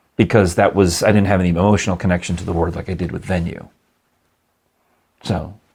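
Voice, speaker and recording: A man with a very deep, low pitch speaks in a somewhat breathy monotone. His pace is very fast, broken by long, frequent pauses. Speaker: radio host. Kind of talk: casual podcast conversation.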